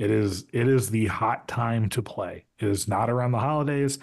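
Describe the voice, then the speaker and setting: A man with a normal speaking voice talks at a moderate pace and medium pitch, with ordinary pitch variation over a quiet background. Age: 30s. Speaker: podcast host. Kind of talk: casual chat.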